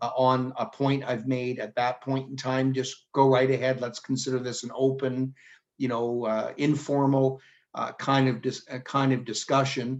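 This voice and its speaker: At a moderate pace, a speaker with a Canadian accent uses a normal speaking voice. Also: man. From Canada, Mississauga, Ontario. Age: 50s. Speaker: former politician. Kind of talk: talk to a town hall. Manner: informal, with many fillers.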